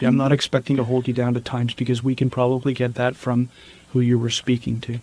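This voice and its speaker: A man speaks at a medium pitch, the sound dry and close with no echo. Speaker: homicide detective. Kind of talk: police interrogation questioning. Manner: gentle, patient.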